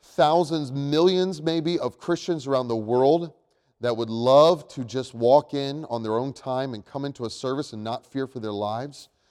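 A man talks at a moderate pace with ordinary pitch variation, on a very clean recording where the background is silent. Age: 30s. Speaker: pastor. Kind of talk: sermon. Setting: church. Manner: halting, many fillers.

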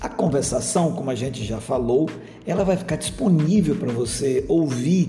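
With noticeable background noise and audible room echo, a man with fairly high pitch speaks at a moderate pace using lively intonation. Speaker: English teacher. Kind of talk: lesson commentary. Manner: casual, conversational.

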